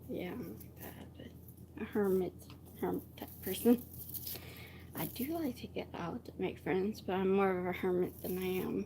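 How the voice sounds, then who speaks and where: A soft-spoken woman with a medium-pitched, dark, mellow tone and some vocal fry talks at a moderate pace, her pitch varying in an ordinary way while her loudness swings widely. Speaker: vlogger. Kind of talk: casual live stream chat. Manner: halting.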